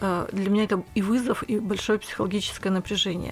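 At a fairly quick pace, a woman with a normal speaking voice talks in a medium pitch with fairly even intonation. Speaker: business coach and mentor, podcast co-host. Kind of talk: casual conversation.

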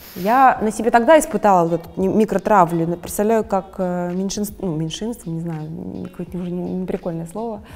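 An ordinary speaking voice from a woman, medium in pitch, at a moderate pace, with ordinary pitch variation and big swings in loudness. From Russia. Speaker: fashion designer. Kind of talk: interview.

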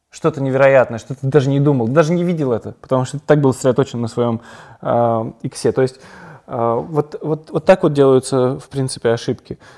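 In a dark, mellow tone, a man speaks fairly quickly. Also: medium pitch for a man, fairly even intonation, very clean recording, silent background. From Kazan, Russia, then Israel from age 10. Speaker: documentary film director. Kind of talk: casual interview. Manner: reflective, with pauses.

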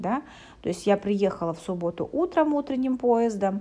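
Intonation stays lively in a plain, everyday voice that keeps a moderate pace. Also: woman. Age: 30s. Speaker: psychologist and coach. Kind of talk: podcast monologue. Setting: hotel room while travelling.

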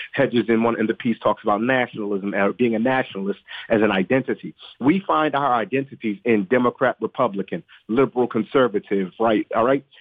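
A man's normal speaking voice at medium pitch, with ordinary pitch variation, very even loudness and a fairly quick pace. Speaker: political analyst and podcast host. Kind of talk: radio interview.

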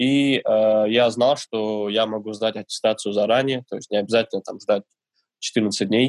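At a fairly slow pace, a man speaks in a medium pitch with fairly even intonation, captured in a very clean recording with a silent background and a dry, close sound with no echo. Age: 20s. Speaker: barista. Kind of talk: interview. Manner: hesitant, many fillers.

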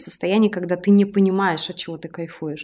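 A woman speaks with a normal speaking voice at a medium pitch and a moderate pace, with ordinary pitch variation. The recording is very clean, with a silent background. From outside Moscow, Russia. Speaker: podcast host and entrepreneur. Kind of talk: casual chat.

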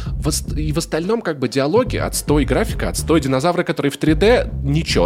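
Male speech at a medium tempo over background music. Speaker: podcast host. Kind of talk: casual chat.

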